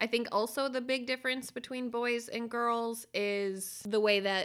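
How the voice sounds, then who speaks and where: A woman's fairly high, animated, playful voice with ordinary pitch variation on a very clean recording with a silent background. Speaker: podcast host and parent. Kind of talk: casual family chat.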